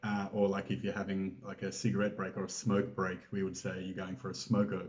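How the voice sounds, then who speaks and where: Someone speaks at a very fast pace with an Australian accent. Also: man, fairly low pitch for a man, fairly even intonation. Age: 40s. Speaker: interview guest. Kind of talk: casual interview. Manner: hesitant, many fillers.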